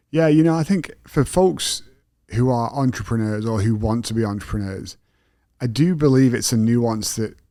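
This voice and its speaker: A man speaks with a British accent at a moderate pace. The recording is very clean with a silent background. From England. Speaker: podcast host. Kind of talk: casual interview conversation.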